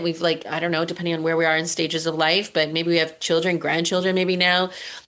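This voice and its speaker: A woman talks very fast in a fairly low voice against a quiet background. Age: 50s. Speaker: entrepreneur and online community builder. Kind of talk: interview on a video call. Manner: casual, many fillers.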